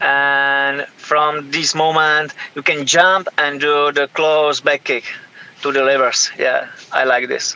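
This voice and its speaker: A fairly high-pitched man with a Czech accent, bright and sharp in tone, monotone and flat in intonation, at a very slow pace. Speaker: professional MMA fighter. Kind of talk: interview. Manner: halting, many hesitations.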